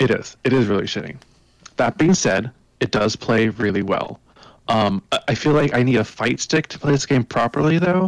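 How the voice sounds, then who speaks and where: A man with a normal speaking voice talks at medium pitch and a moderate pace, his intonation lively and the sound dry and close with no echo. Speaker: gaming podcast co-host. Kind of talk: casual chat.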